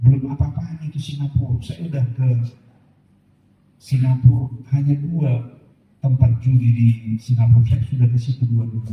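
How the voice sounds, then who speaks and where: A man with a dark, mellow tone and a medium pitch speaks at a moderate pace, somewhat breathy. His intonation is fairly even, and he takes long, frequent pauses. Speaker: pastor. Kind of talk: sermon.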